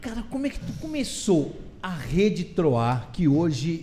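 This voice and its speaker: A man's high-pitched voice at a very slow pace, with noticeable background noise and audible room echo. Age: 60s. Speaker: podcast host, journalist. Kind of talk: interview. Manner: casual.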